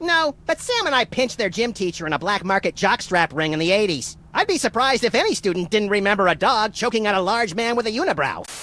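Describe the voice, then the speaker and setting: A put-on character voice at a fairly high pitch, racing along very fast with hardly any pauses over light background noise. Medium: video game.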